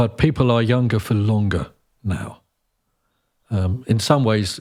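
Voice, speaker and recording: The recording is very clean, with a silent background, and a man speaks in an ordinary speaking voice. His pitch is fairly low with ordinary pitch variation, and his pace is fairly slow. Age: 60s. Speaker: conductor, composer and opera singer. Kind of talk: casual chat.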